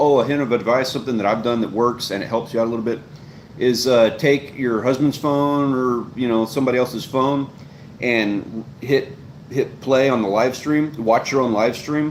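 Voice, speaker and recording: Man at a fairly quick pace, medium pitch, fairly even intonation. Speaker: fishing channel host and live streamer. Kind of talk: live stream Q&A, casual advice. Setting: live stream. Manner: loud; fast, long-winded.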